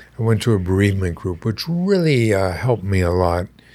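A man with an American accent talks in a normal speaking voice at a fairly low pitch. He keeps a moderate pace on a very clean recording with a silent background. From eastern US and Winnipeg, Canada. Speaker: brain injury center founder. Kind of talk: interview.

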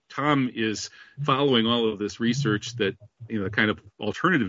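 This man talks at a fairly quick pace with ordinary pitch variation. He has an unremarkable speaking voice. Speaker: radio host. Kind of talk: radio interview, combative banter. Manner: sarcastic, joking.

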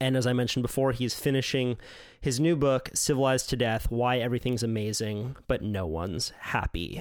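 Speaking at a fairly quick pace, a man with an American accent has a plain, everyday voice with a medium pitch and ordinary pitch variation. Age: 20s. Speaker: podcast host and surfer journalist. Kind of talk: casual chat; scripted narration.

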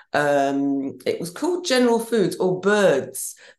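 Very slowly, a woman speaks at medium pitch in a southern English accent. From Banbury, Oxfordshire, England. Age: 60s. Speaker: fashion designer and podcast host. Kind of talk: casual chat.

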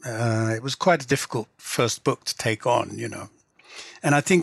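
The sound is dry and close with no echo. A man speaks with an English accent. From England. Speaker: literary translator and novelist. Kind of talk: interview. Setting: remote call.

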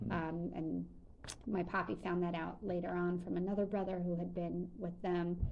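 A woman with an American accent speaks at a moderate pace and a fairly low pitch. Her loudness stays very even, and her intonation is fairly even too. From Long Island, New York. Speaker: journalist and museum storyteller. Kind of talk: casual chat.

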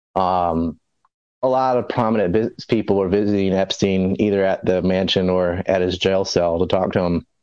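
A man talks in a very deep, low pitch with fairly even intonation. The background is quiet. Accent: American. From US South, North Carolina Outer Banks (Hatteras Island). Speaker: conspiracy commentator. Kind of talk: casual chat.

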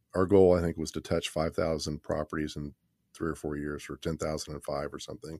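An American accent marks this man's very deep, low pitch and dark, mellow tone, delivered at a fairly quick pace with monotone, flat intonation. The very clean recording has a silent background and a dry, close sound with no echo. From Kansas City area, Missouri. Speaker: city planner. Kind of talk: casual interview. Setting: studio.

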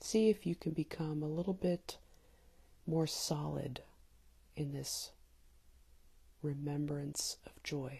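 A woman's very deep, low voice, somewhat breathy, calm and dark and mellow, at a very slow pace with long, frequent pauses, ordinary pitch variation and big swings in loudness. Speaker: meditation guide. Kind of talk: guided meditation. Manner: calm with long pauses.

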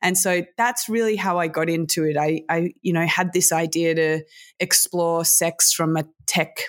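On a very clean recording with a silent background, a woman with an Australian accent speaks at a fairly low pitch and a fairly slow pace, with fairly even intonation and very even loudness. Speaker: sex tech entrepreneur and podcaster. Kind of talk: interview.

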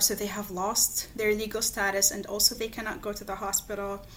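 In an Arabic accent, a woman speaks at a moderate pace and medium pitch. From Lebanon, Palestinian refugee camp in Beirut. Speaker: geography researcher. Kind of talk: interview.

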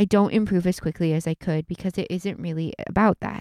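At a fairly quick pace, a woman with a fairly low pitch and a dark, mellow tone speaks with fairly even intonation. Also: dry, close sound with no echo. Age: 30s. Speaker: podcast co-host. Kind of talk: casual chat; reading aloud.

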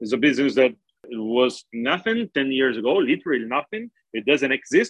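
At a moderate pace, a man with a Portuguese accent speaks at medium pitch with lively intonation, the sound dry and close with no echo. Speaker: crypto exchange executive. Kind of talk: interview. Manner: halting, many fillers and repeats.

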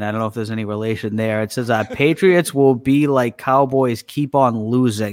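With a Boston accent, a man talks at a moderate pace. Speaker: podcast co-host.

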